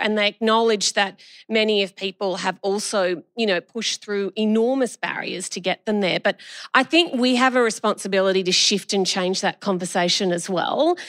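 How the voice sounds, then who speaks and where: A woman speaks in an enthusiastic tone at a moderate pace, with ordinary pitch variation. The recording is very clean and dry, close with no echo, over a silent background. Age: 50s. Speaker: state politician, former nurse. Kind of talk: live panel discussion. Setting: stage with audience.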